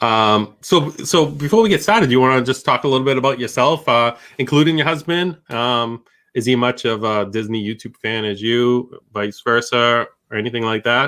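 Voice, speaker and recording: A man with a Boston accent speaks at a moderate pace, his medium-pitched voice bright and sharp. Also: ordinary pitch variation. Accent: thick Boston. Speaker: YouTube channel host. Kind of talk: casual chat. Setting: live stream.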